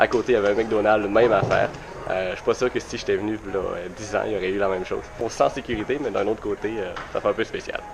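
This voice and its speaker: Over music in the background, a man speaks at a very fast pace. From Quebec. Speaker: vlogger. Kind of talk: travel vlog. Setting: outdoors at a bus stop. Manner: hesitant with many fillers.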